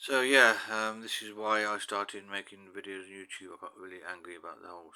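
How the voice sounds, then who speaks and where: In a British accent, a man with a bright, sharp tone and fairly low pitch talks at a fairly quick pace with hardly any pauses and big swings in loudness. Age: 60s. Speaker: YouTuber. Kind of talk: personal monologue. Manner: halting, with many fillers and repetitions.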